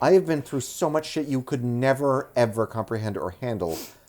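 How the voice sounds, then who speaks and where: In a plain, everyday voice, a man with an American accent talks at a medium pitch and a fairly quick pace with lively intonation, on a very clean recording with a silent background. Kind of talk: casual podcast movie review.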